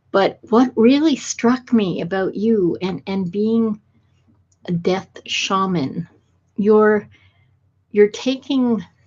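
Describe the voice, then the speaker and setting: Somewhat breathy and fairly high-pitched, a woman speaks at a very slow pace with lively intonation and long, frequent pauses. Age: 60s. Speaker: podcast host. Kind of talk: podcast interview.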